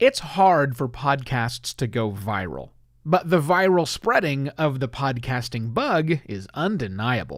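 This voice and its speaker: Recorded very cleanly against a silent background, a man speaks fairly slowly in a fairly high pitch with very wide pitch swings. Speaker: podcast host. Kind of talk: podcast monologue; warm-up before recording. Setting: live-streamed taping.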